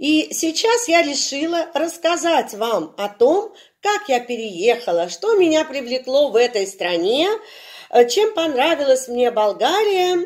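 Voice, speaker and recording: Against a quiet background, a woman speaks very slowly in a high voice with very wide pitch swings. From Russia. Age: 60s. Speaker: video blogger; vlogger about moving abroad. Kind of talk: channel introduction vlog. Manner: hesitant with filler sounds. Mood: friendly, warm. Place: home room. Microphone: phone near.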